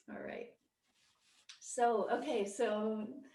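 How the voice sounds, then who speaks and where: Soft-spoken and somewhat breathy, a woman talks at a very slow pace with fairly even intonation, and room echo is audible. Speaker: Buddhist meditation teacher. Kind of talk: lecture; casual chat. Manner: halting.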